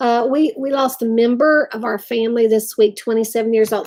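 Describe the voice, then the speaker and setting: With an Appalachian accent, a woman speaks at a moderate pace in a fairly even intonation. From West Virginia. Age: 50s. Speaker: craft channel host. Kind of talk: casual live-stream chat.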